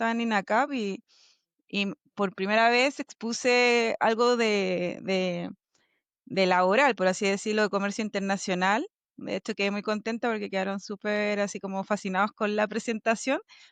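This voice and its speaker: In a Chilean accent, a woman with a fairly high pitch speaks at a moderate pace with ordinary pitch variation, in a dry, close sound with no echo and a quiet background. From Chile, Valparaíso. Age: 30s. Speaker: logistics executive. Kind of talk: interview.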